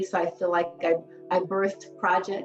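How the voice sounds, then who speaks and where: Over music in the background, a woman with an American accent talks at a moderate pace and medium pitch. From Los Angeles. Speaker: clinical social worker. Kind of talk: interview answer.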